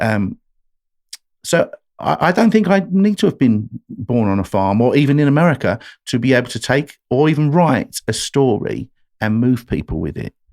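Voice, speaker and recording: A man of medium pitch speaks with an English accent at a moderate pace, his pitch swinging very widely in a dry, close sound with no echo. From England, London. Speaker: country singer-songwriter. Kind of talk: podcast interview.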